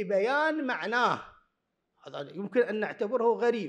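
Over a quiet background, a man speaks at an extremely high pitch with ordinary pitch variation. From Iraq. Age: 40s. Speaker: university lecturer. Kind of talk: conference talk. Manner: formal. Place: hall. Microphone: podium.

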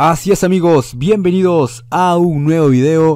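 A man speaks at a fairly slow pace in a dark, mellow tone on a very clean recording with a silent background. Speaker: YouTuber. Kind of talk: casual vlog talk.

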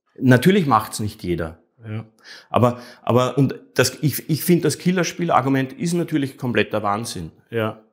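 Lively intonation from a man at a moderate pace, quiet background. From Austria (Vienna). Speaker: artist, actor and streamer; actor, streamer. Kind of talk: interview. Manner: halting, many repetitions. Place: home room. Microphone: lapel.

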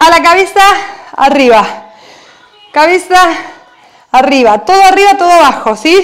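The delivery moves at a fairly slow pace with lively intonation. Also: woman, extremely high pitch for a woman. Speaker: fitness instructor. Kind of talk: workout class coaching cues. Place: home room.

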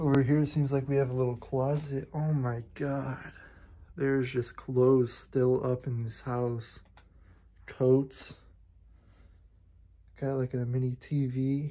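The speech moves at a fairly slow pace with long, frequent pauses against a quiet background. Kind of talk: casual vlog commentary. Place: home room. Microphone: phone near.

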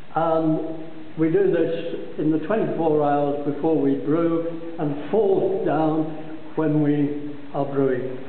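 The man speaks very slowly, at a fairly high pitch. Room echo is audible. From Scotland. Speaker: brewery tour guide. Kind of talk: guided tour explanation. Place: factory. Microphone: phone near.

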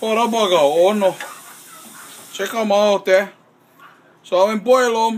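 A man with a high pitch and a relaxed tone speaks in fairly even intonation, leaving long, frequent pauses. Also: fairly slow pace. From Hawaii. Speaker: home cook. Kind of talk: casual cooking talk to camera. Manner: relaxed, folksy. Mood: relaxed, proud, joking. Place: kitchen. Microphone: phone near.

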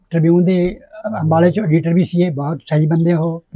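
Dry and close with no echo, this voice has a dark, mellow tone and fairly even intonation. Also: man. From Jalandhar district, Punjab, India. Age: 80s+. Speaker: retired government press worker and poet. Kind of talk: interview answer.

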